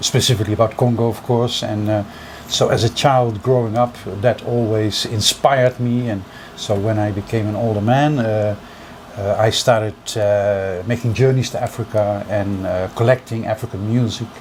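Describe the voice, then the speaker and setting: At a moderate pace and in a monotone, flat intonation, someone speaks with a Dutch accent over noticeable background noise. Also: man, medium pitch for a man. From Netherlands. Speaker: music collector. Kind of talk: interview.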